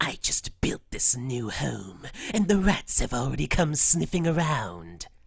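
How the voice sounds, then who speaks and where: A put-on character voice at a low-to-middle pitch. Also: fairly slow pace. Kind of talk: reading a story passage.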